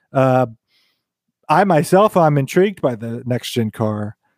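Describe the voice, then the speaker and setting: This man has a plain, everyday voice, fairly high in pitch and fairly slow in pace. The sound is dry and close, with no echo. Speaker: podcast host. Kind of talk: casual banter about sim racing.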